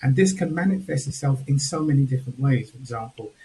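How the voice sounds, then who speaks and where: A man speaks at a fairly quick pace in a fairly high pitch, with ordinary pitch variation. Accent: Home Counties. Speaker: panel speaker. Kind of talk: panel discussion. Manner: measured and controlled.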